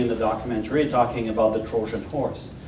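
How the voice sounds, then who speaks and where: A man with a French accent talking fairly quickly, with audible room echo and noticeable background noise. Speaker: former intelligence officer. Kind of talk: panel Q&A. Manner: halting.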